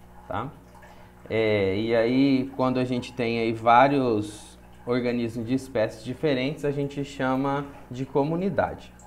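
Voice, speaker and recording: A man's medium-pitched voice at a fairly slow pace, fairly even in intonation, with audible room echo. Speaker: biology teacher. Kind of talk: lecture.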